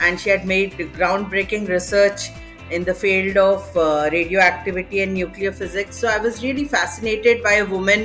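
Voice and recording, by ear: Faint music plays in the background as a woman speaks at a moderate pace with few pauses. Her medium pitch has a fairly bright tone and fairly even intonation.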